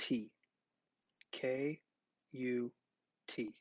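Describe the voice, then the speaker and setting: This man talks softly at a medium pitch, recorded with a dry, close sound and no echo. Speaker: math teacher. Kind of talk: tutorial. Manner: soft-spoken.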